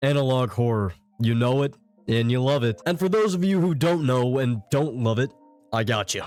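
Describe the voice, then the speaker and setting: A man speaks at a moderate pace and medium pitch with lively intonation. His loudness stays very even, and music plays in the background. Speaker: horror explainer youtuber. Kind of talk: video essay narration. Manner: animated.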